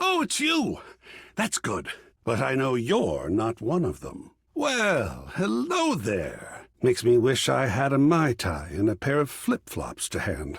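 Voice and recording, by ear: A man's put-on character voice, slow and husky with a rough edge and vocal fry, with very wide pitch swings. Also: medium pitch for a man, fairly bright tone.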